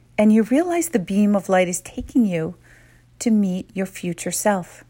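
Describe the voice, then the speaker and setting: The recording is very clean, with a silent background. A woman speaks in a calm, gentle, somewhat breathy tone with ordinary pitch variation. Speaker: meditation guide. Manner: slow, calm and hushed, with short gentle directives separated by pauses for reflection; soothing and intimate, softly prompting questions to the listener's inner self.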